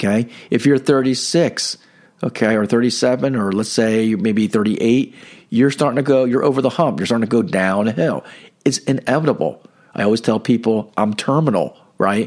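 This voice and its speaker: A man with an unremarkable speaking voice talks at a moderate pace and medium pitch, with ordinary pitch variation, on a very clean recording with a silent background. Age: 50s. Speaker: podcast host and spiritual coach. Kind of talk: religious reflection monologue. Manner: casual with many fillers.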